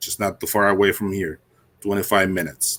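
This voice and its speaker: A man speaks with a Spanish accent. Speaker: conference emcee. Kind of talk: speaker introduction.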